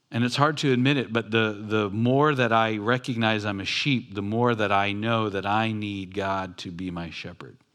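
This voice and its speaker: A man's ordinary speaking voice, fairly low-pitched and fairly slow, with an American accent and ordinary pitch variation, on a very clean recording with a silent background. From Southern California, Long Beach. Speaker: pastor. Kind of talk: sermon. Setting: church.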